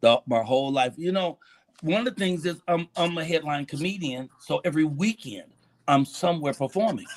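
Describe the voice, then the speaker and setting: In a dry, close recording with no echo, a man talks at a moderate pace in a fairly high voice with ordinary pitch variation. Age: 60s. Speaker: stand-up comedian. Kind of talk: casual interview chat. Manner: animated.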